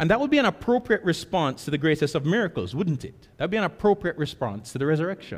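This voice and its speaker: A man with vocal fry and a fairly high pitch talks at a very fast pace with hardly any pauses and very wide pitch swings, on a very clean recording with a silent background. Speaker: pastor. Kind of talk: sermon.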